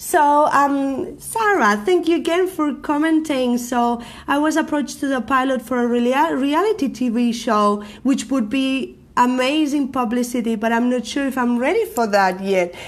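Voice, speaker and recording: Loud and high-pitched, a woman with a Spanish accent speaks at a moderate pace with lively intonation and hardly any pauses. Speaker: marketing coach and live show host. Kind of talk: live stream talk to viewers. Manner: energetic.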